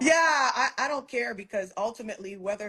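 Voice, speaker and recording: A woman speaks fairly quickly, her pitch swinging very widely. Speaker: entrepreneur. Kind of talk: casual interview chat. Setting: Instagram livestream. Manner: direct, declarative, no upspeak; firm, even tone.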